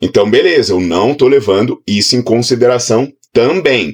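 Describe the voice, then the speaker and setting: A man's animated voice at medium pitch, with lively intonation. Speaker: fitness educator. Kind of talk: online lecture.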